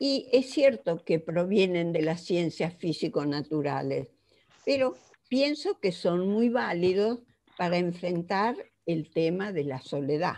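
A woman's fairly low, dark and mellow voice, very slow, with very wide pitch swings. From Argentina. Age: 80s+. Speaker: psychologist; conference lecturer. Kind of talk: lecture. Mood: earnest, reflective. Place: home room. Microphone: headset.

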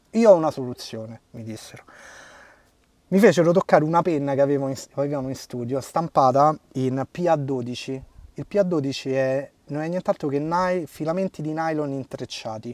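In a dry, close, very clean recording with a silent background, a man with a fairly high pitch talks at a moderate pace, with ordinary pitch variation and big swings in loudness. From Rome, Italy. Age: 30s. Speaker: man with a limb difference. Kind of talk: interview conversation. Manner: halting.

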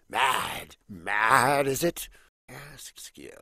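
A man puts on a raspy, cartoonish character voice. He speaks at a very slow pace. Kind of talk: animated film dialogue. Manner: theatrical, grandiose.

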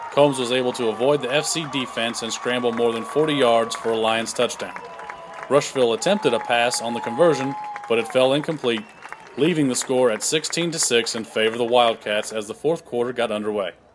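A medium-pitched man talking fairly quickly with ordinary pitch variation, crowd noise in the background. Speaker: sports highlights host. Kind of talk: sports highlight narration, recapping the game play by play. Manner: steady, upbeat, formal broadcast delivery; brisk and clear, reading a prepared script.

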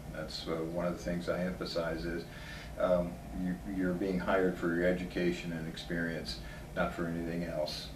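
A man speaks at a fairly quick pace in a very deep, low pitch. His pitch varies in an ordinary way, and there is noticeable background noise. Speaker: interviewee. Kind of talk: interview answer. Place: office.

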